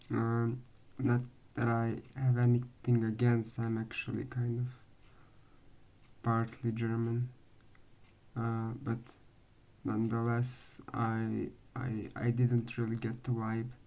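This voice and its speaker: The speaker has a non-native accent and talks at a very slow pace. Long pauses come often. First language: not English. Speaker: anime fan video maker. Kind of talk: casual vlog commentary. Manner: hesitant, many fillers.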